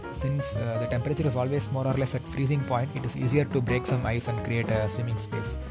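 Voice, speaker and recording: Over loud background noise, a man rushes along at a very fast pace with hardly any pauses. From India. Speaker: vlogger. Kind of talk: vlog narration. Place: forest.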